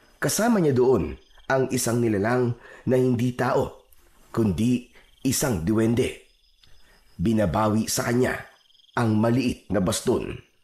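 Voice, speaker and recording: At a medium pitch with ordinary pitch variation, a man talks at a fairly slow pace with long, frequent pauses. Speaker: voiceover narrator. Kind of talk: horror story narration.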